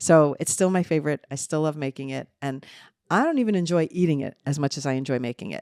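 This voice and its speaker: In a very clean recording with a silent background and a dry, close sound with no echo, a woman talks at a very fast pace in a very deep, low pitch with ordinary pitch variation. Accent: American. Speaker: podcast co-host, mother. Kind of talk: casual chat. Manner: animated.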